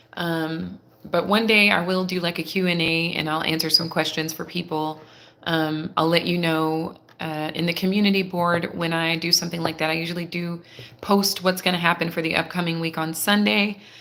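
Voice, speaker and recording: Quiet and bright, sharp in tone, a woman talks at a moderate pace. Her pitch is fairly low. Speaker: tarot reader. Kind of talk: live tarot reading. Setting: live stream. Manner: quiet, holding back volume.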